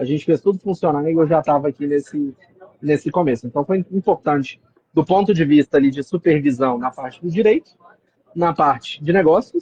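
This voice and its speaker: This man's voice sits fairly high in pitch and carries a strong Minas Gerais accent. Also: ordinary pitch variation, moderate pace, dry, close sound with no echo. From Minas Gerais, Brazil. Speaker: real estate company executive. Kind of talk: interview.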